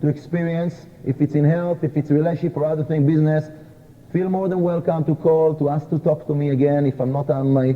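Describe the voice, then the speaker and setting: A man with a non-native accent speaks fairly quickly in a monotone, flat delivery, with noticeable background noise. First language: not English. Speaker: kabbalah teacher. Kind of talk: lecture.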